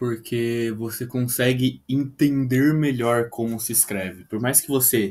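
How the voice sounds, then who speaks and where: This man has an unremarkable speaking voice at a medium pitch, with fairly even intonation. He speaks at a fairly slow pace. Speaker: English tutor. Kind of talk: video lesson.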